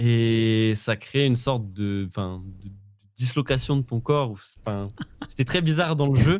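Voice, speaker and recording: At a fairly slow pace with long, frequent pauses, a man with a Parisian accent speaks at a medium pitch with ordinary pitch variation. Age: 20s. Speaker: esports player. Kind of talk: casual interview.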